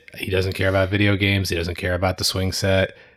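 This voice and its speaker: A man speaks in a fairly low voice. His intonation is monotone and flat, with noticeable background noise. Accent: American. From New York (Brooklyn and Long Island), then Connecticut from age nine. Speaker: audio-visual tech business owner. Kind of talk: casual interview.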